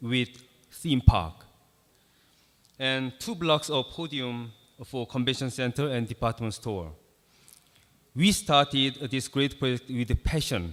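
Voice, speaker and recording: A man with a Korean accent speaks at a fairly slow pace and medium pitch. His intonation is lively, broken by long, frequent pauses. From South Korea. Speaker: architect. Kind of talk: conference presentation. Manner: halting, many fillers.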